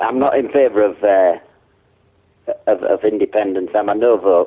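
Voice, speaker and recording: In a Yorkshire accent, a man talks at a moderate pace. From Yorkshire, Hull. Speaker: prank call target. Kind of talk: phone conversation. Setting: phone call.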